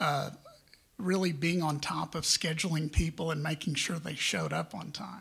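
Speaking with an American accent, a man keeps a moderate pace and fairly even intonation. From Texas, San Antonio; Texas. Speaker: media and real estate businessman, panelist; panelist. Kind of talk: conference panel talk. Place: hall.

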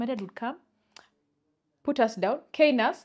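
Lively intonation and a Ugandan accent mark this speech, delivered at a fairly quick pace over a quiet background. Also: woman. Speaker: podcast co-host. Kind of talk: casual chat. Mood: animated, storytelling. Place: studio. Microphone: lapel.

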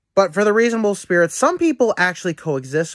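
Against a quiet background, a man speaks at a moderate pace with very wide pitch swings. The sound is dry with no echo. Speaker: vlogger on spiritual topics. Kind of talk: casual vlog chat. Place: home room. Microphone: phone near.

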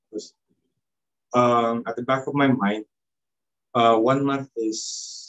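A man with a Filipino accent, medium in pitch, at a very slow pace with fairly even intonation over a quiet background. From Philippines. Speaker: former missionary volunteer. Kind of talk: testimony. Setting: video call. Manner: halting. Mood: reflective, calm. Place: home room. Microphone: video call.

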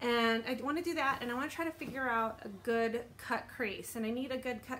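A woman at a moderate pace with ordinary pitch variation, light background noise behind her. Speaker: beauty vlogger. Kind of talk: casual vlog chat. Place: home room. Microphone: phone near.

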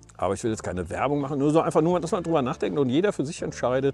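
A man speaks in a dry sound with no echo, with faint music in the background. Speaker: van life vlogger. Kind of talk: casual vlog chat. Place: open country. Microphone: lapel.

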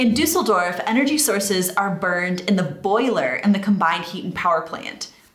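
A woman talks with a medium pitch and lively intonation. There is noticeable background noise. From United States. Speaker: YouTuber. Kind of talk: scripted narration.

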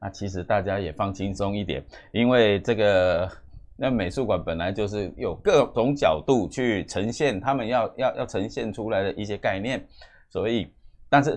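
Against a quiet background, a man speaks at a moderate pace with a Taiwanese accent. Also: fairly low pitch for a man, ordinary pitch variation. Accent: Taiwanese Mandarin. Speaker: news commentary host; news commentator. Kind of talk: news commentary monologue; current affairs commentary. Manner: halting, many fillers and repetitions.

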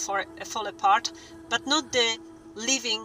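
A woman's raised, projected voice at a fairly slow pace, dry with no echo, faint music in the background. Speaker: vlogger. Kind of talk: casual vlog chat. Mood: indignant, persuasive. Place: car. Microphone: phone near.

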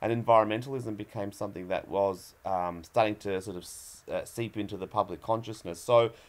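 A man's fairly quick delivery with fairly even intonation. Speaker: guest. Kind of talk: interview answer.

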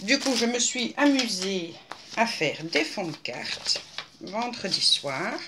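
Over noticeable background noise, a woman talks at a very slow pace with long, frequent pauses. Her fairly high voice moves in very wide pitch swings. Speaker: craft video maker. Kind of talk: casual vlog talk to viewers; casual vlog chat. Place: home room. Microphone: webcam.

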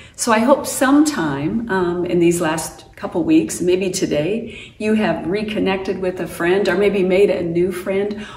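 A woman at a fairly slow pace, with ordinary pitch variation and audible room echo. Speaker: pastor. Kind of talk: worship welcome address. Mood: warm, welcoming. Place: home room. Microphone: camera far.

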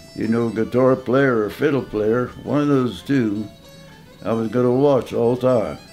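A man with a Midwestern US accent speaks at a fairly slow pace with ordinary pitch variation. Faint music plays in the background. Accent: rural Midwestern American. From southeastern Indiana. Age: 80s+. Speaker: old-time fiddler; war veteran. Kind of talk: interview answer. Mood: reminiscing, relaxed. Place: home room.

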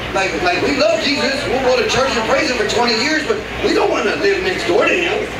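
A man with an American accent talks at a fairly quick pace over loud background noise, with audible room echo. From Texas, Houston. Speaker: stand-up comedian. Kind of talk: stand-up. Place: stage.

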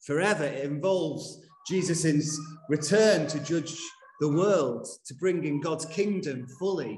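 Audible room echo surrounds this man's voice. Behind it there is light background noise. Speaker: minister. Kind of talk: sermon. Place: church.

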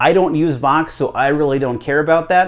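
A man at a moderate pace, with ordinary pitch variation against a quiet background. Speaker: ham radio hobbyist. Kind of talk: tutorial. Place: home room. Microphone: lapel.

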